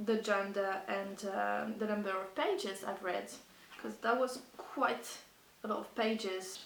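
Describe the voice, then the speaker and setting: A non-native accent at a fairly slow pace with ordinary pitch variation and noticeable background noise. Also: woman, medium pitch for a woman. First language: not English. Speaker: book vlogger. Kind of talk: casual talk to camera. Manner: hesitant.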